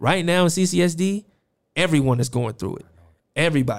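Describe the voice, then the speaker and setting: At a fairly quick pace, a man with an American accent talks in an animated tone with ordinary pitch variation, recorded very cleanly with a silent background. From Las Vegas, Nevada. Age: 30s. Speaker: podcast host. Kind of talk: interview conversation. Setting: studio. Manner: animated, hype.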